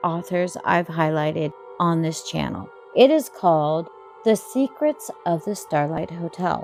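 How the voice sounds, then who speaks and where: Over music in the background, a woman with a fairly low pitch speaks at a fairly slow pace with lively intonation. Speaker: voice actor. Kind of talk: channel host intro to camera.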